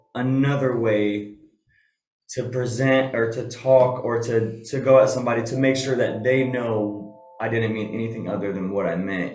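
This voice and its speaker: There is audible room echo as a man of medium pitch talks at a moderate pace with fairly even intonation. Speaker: podcast guest. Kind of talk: casual chat.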